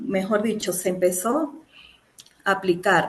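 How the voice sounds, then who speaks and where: A woman speaks with an Andean Venezuelan accent. Her pitch sits in the medium range with ordinary pitch variation. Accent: Andean Venezuelan (Mérida). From Venezuela, Mérida (Andes). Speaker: mechanical engineer, master's student. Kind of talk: thesis defense presentation. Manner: hesitant, many fillers.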